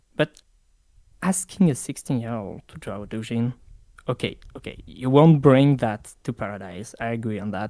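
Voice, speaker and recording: A man with a French accent talks at a medium pitch and a moderate pace, in a dark, mellow tone. His intonation is lively, and his loudness swings widely. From France. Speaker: interviewee, online community member. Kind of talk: interview. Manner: halting.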